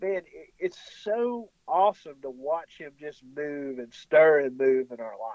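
Speaking with a rural Southern US accent, a man takes a fairly slow pace with lively intonation and big swings in loudness. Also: fairly high pitch for a man. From rural US South, Tennessee. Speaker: worship pastor. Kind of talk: religious discussion on radio. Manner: halting, many fillers and repeats.

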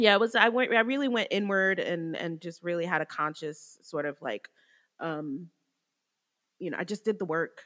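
Over a very clean recording with a silent background, a woman with an American accent uses a normal speaking voice at a moderate pace with lively intonation. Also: medium pitch for a woman. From New Jersey. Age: 30s. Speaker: recovering addict. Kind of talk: testimony.

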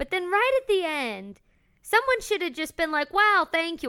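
A woman projects a raised voice at an extremely high pitch, bright and sharp in tone. Her pitch swings very widely at a moderate pace. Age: 20s. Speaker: podcast co-host, voice researcher. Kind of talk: casual chat.

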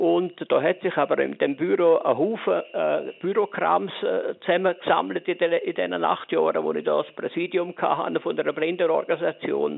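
A man with a Lucerne accent talks at a moderate pace, hardly pausing, over noticeable background noise. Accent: Swiss German (Lucerne). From Switzerland, canton of Lucerne. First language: Swiss German (speaking German). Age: 70s. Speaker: visually and hearing impaired retiree. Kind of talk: interview. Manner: halting.

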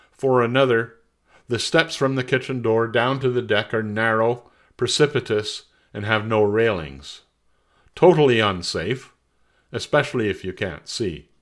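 A man with a plain, everyday voice speaks at a medium pitch and a moderate pace, with ordinary pitch variation, on a very clean recording with a silent background. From Montreal, Quebec. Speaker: personal essayist. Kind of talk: reading aloud.

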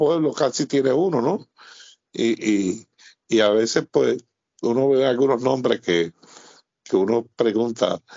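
A man speaks at a fairly slow pace. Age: 60s. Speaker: sports historian and author. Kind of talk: interview conversation. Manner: halting, with many fillers and repetitions.

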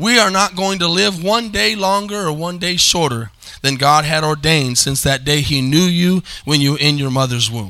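A man speaks at a fairly high pitch and moderate pace. His tone is bright and sharp, with ordinary pitch variation.

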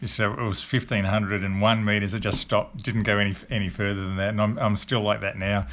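A man talks at a fairly quick pace with an Australian accent. His pitch is fairly low and his intonation fairly even. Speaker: retired Olympic decathlete. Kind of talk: interview. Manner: halting.

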